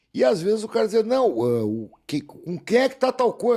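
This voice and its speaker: In a very clean recording with a silent background, a man speaks at a moderate pace in a high pitch, his tone dark and mellow and his intonation lively. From southern Brazil, Porto Alegre. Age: 60s. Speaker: actor. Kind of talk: interview.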